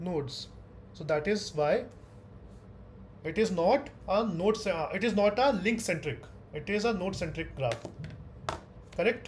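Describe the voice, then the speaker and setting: A loud man with a high pitch talks at a fairly slow pace, using lively intonation and long, frequent pauses. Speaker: teaching assistant. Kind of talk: online tutorial session.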